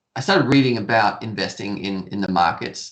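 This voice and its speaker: Intonation lively, a man with an Australian accent talks at a moderate pace. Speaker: stock trading educator. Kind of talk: podcast interview.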